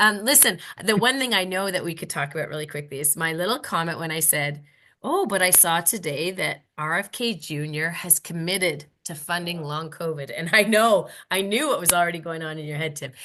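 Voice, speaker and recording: Speaking fairly quickly in a Canadian accent, this is a plain, everyday voice with ordinary pitch variation against a quiet background. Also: woman, fairly low pitch for a woman. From Canada. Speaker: podcast co-host. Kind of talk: casual panel discussion. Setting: video call.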